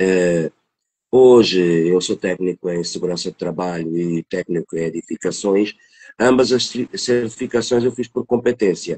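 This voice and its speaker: A man speaks at a fairly slow pace in a very deep, low voice with ordinary pitch variation. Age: 50s. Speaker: technician. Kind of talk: interview testimony. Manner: halting.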